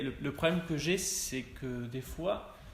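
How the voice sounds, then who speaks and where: A man speaks with fairly even intonation. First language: Spanish (speaking French). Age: 20s. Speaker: copywriter at ad agency. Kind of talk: interview. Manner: halting.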